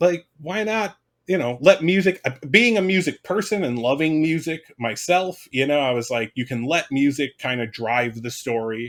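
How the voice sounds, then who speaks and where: Here a man with an unremarkable speaking voice talks at a fairly high pitch and moderate pace. His intonation is lively, with hardly any pauses. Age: 40s. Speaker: content creator. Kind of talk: casual chat.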